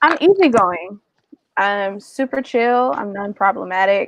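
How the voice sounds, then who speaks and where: Very slowly and with ordinary pitch variation, a woman with an American accent speaks at a medium pitch, the sound dry and close with no echo. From US South, Georgia (Warner Robins). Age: 20s. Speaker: dating show contestant. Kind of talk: casual chat.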